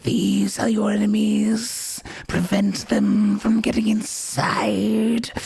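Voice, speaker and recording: Someone whispers in a put-on character voice. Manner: whispering.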